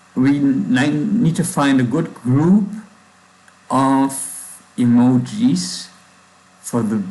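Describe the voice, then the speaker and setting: Speaking very slowly with long, frequent pauses, a man's fairly high voice makes very wide pitch swings amid audible room echo and noticeable background noise. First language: German. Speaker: programmer livestreamer. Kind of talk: coding livestream. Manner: halting, with pauses and fillers.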